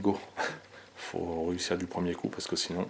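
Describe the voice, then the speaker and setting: Soft-spoken, a man talks at a moderate pace with a very deep, low pitch. Noticeable background noise runs behind him. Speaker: urban explorer vlogger. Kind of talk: exploration vlog narration. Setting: indoors in abandoned house.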